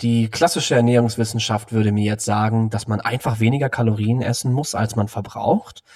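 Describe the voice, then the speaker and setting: Over noticeable background noise, a man speaks at a fairly quick pace in a medium pitch, with fairly even intonation and hardly any pauses. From Cologne, Germany. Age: 20s. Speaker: nutrition scientist. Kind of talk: interview.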